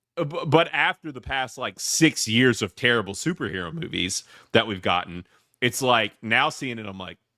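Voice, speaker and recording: A man with an American accent speaks at a medium pitch in a bright, sharp tone, with very wide pitch swings and big swings in loudness. The recording is very clean, with a silent background and a dry, close sound with no echo. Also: moderate pace. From US South. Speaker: podcast host, movie reviewer. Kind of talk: casual chat. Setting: live podcast. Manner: halting.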